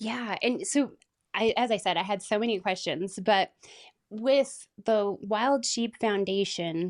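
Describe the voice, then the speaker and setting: With an American accent, a woman with a fairly high voice talks at a very slow pace with ordinary pitch variation against a quiet background. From Colorado and Southern California. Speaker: podcast host, hunting guide. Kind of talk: podcast interview.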